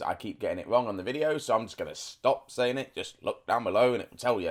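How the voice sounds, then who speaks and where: A man talks at a very fast pace. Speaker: gaming YouTuber. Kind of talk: let's play commentary. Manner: casual, hesitant with fillers.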